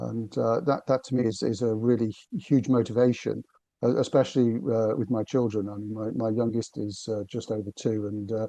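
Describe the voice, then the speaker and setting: A man with a British accent speaks in a medium pitch with a dark, mellow tone. His intonation stays fairly even. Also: moderate pace. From northern England, Liverpool. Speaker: business consultant. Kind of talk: podcast interview. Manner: halting, many fillers and repetitions.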